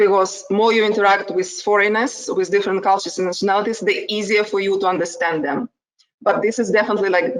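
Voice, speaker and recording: A woman with a strong Ukrainian accent talks at a very fast pace in a medium pitch with fairly even intonation. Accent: heavy Ukrainian. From Ukraine. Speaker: HR manager. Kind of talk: casual chat.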